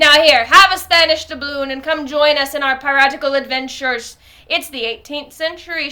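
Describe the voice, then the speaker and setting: A woman does a put-on character voice, high in pitch. She talks fairly quickly in a raised, projected voice. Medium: read story. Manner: blunt, swaggering.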